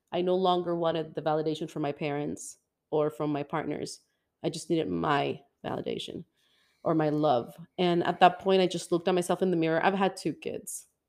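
An unremarkable speaking voice from a woman, fairly low in pitch, at a fairly quick pace, on a very clean recording with a silent background. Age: 40s. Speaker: podcast host. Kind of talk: casual interview chat.

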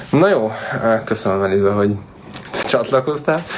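Lively intonation marks a man's fairly low voice, heard over noticeable background noise. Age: 30s. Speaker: real estate agent. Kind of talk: casual solo vlog talk.

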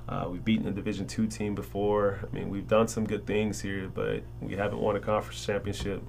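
With an American accent, the speaker races along at a very fast pace with very wide pitch swings, and room echo is audible. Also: man. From Chicago, South Side. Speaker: college basketball coach. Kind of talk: casual interview.

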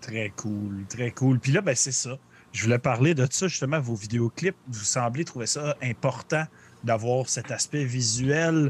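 Somewhat breathy, a man speaks at a very slow pace with a Quebec accent. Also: medium pitch for a man, ordinary pitch variation, dry, close sound with no echo. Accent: Québécois French. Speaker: podcast host. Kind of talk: casual podcast chat. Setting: live-streamed video call podcast.

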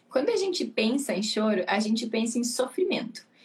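Over noticeable background noise, a woman talks at a moderate pace with a high pitch. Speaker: pediatrician. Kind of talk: casual chat. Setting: live stream.

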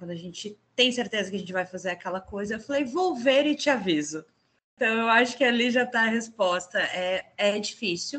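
With an ordinary speaking voice, a woman talks at a fairly quick pace, her fairly high pitch carrying lively intonation. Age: 40s. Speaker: entrepreneur. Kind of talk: casual chat.

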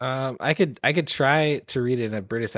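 A man with a normal speaking voice talks at a fairly quick pace and with ordinary pitch variation on a very clean recording with a silent background. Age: 30s. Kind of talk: casual chat. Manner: joking.

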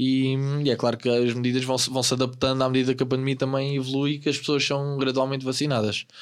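Very fast and monotone, a man speaks at a medium pitch with flat intonation. His loudness stays very even, and the recording is very clean with a silent background. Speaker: podcast co-host. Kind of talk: casual chat.

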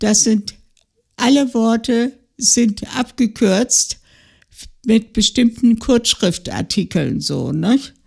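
With vocal fry and ordinary pitch variation, a woman speaks fairly high at a very slow pace, leaving long, frequent pauses. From West Prussia, then Thuringia. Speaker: retiree, interviewee sharing life story. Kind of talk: life-story interview. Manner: halting, many fillers.

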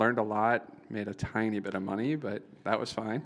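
Fairly low in pitch and with an American accent, a man talks at a fairly slow pace with fairly even intonation, recorded very cleanly against a silent background. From Iowa, US Midwest. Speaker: tech entrepreneur, company founder. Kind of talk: live Q&A interview. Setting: event with live audience.

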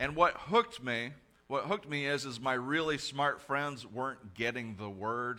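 In a very clean recording with a silent background, a man speaks loudly at a fairly slow pace in a bright, sharp tone, at a medium pitch with ordinary variation. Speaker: pastor. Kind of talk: sermon. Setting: church.

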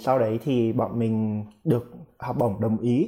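Over a silent background in a very clean recording, a man talks in a somewhat breathy, dark and mellow tone at medium pitch. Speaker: international student. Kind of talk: casual interview.

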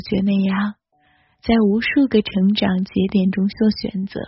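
Somewhat breathy woman's voice of medium pitch at a moderate pace. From mainland China. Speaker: podcast host. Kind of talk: solo podcast monologue.

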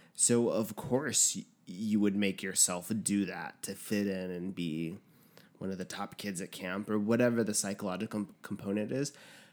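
At a moderate pace, a man with a fairly low voice and ordinary pitch variation uses an ordinary speaking voice. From New Mexico, US. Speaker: podcast guest. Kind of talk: casual chat.

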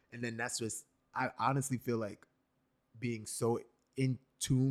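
A man with an American accent speaks in a plain, everyday voice at a medium pitch with fairly even intonation, dry and close with no echo. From New York City. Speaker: podcast host. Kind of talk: casual chat.

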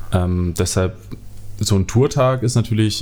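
A man is speaking. His pace is moderate. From Germany, southern Westphalia (NRW). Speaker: keyboardist and music producer. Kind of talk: casual interview chat. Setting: in person at host's home.

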